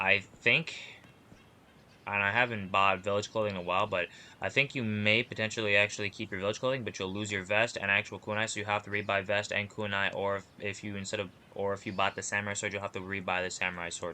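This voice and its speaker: A man's fairly low voice with a bright, sharp tone, very fast and monotone, over a quiet background. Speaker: gaming YouTuber. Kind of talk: game tutorial. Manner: casual.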